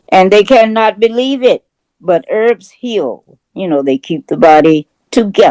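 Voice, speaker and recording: A woman speaks at a fairly slow pace with a fairly high pitch and very wide pitch swings. Her tone is dark and mellow, and the sound is dry and close with no echo. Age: 90s. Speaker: naturopathic doctor. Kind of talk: casual group discussion. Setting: video call.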